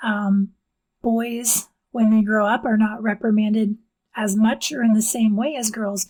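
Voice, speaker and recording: Soft-spoken and somewhat breathy, a woman talks at a fairly slow pace in a fairly high pitch with fairly even intonation. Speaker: book reviewer. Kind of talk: casual book review monologue. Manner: quiet, not projecting.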